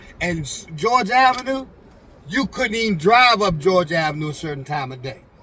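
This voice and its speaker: A man's intonation stays lively despite the noticeable noise behind him. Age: 60s. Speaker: go-go musician, former drug dealer. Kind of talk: casual chat. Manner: halting, many fillers.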